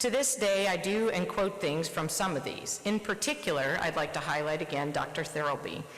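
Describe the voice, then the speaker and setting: With an American accent, a woman speaks at medium pitch and a moderate pace, with very wide pitch swings, very even loudness and hardly any pauses, over noticeable background noise and audible room echo. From US Midwest, Nebraska. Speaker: surgeon. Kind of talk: presidential address. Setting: conference stage with audience.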